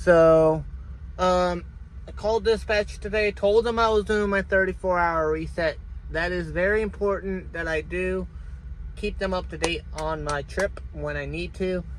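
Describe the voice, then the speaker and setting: The speaker has an American accent and talks at a fairly slow pace. Background noise is noticeable throughout. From Ohio, US Midwest. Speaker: truck driver livestreamer. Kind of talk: casual livestream chat. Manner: halting, repetitive.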